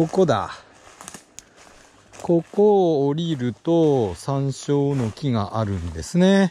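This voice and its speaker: Pausing long and often, a man speaks at a very slow pace in a fairly high pitch with very wide pitch swings. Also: dry sound with no echo. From Hachinohe, Aomori. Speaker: retired high school teacher. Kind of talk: mumbled monologue while hiking. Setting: outdoors. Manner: relaxed, soothing. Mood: relaxed, mellow, talking to himself. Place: forest. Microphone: phone near.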